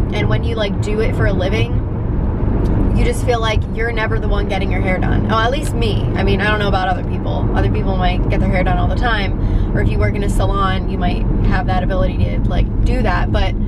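Over loud background noise, a woman speaks at a very fast pace. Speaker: vlogger. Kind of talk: casual vlog chat. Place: car. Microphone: phone near.

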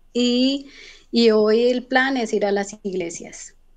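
A woman speaks at a very slow pace with fairly even intonation over a quiet background. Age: 30s. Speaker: recent migrant, job seeker; interview guest. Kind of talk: interview testimony. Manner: hesitant, many fillers. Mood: calm, somewhat worried. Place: home room. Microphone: video call.

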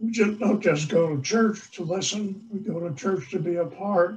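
This man speaks with an American accent. His pace is moderate. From US Northeast, Long Island, New York. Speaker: priest. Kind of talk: sermon. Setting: church. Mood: warm, earnest.

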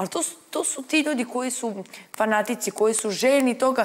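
A woman talks at a very fast pace in a high pitch. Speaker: reality show contestant. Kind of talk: studio panel discussion. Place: studio.

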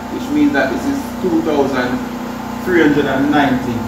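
There is audible room echo around a man's voice. Loud background noise is present as well. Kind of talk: tutorial. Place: workshop. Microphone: camera far.

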